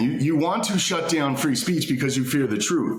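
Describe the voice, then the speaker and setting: A man with a fairly high pitch talks in a space with audible room echo. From Canada. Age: 40s. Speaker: political commentator. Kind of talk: casual interview chat. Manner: halting, many repeated words.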